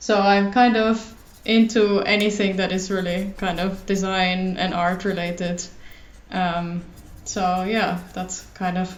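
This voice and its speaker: In a German accent, a woman speaks very slowly at a medium pitch with fairly even intonation, and audible room echo surrounds her voice. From Germany. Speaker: illustrator and designer. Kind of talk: casual chat. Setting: recording at home.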